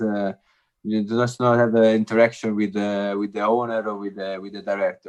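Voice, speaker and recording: A man at a medium pitch over a quiet background. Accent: Italian. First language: Italian. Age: 30s. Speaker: former footballer. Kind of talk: podcast interview. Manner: halting, many fillers and repeats.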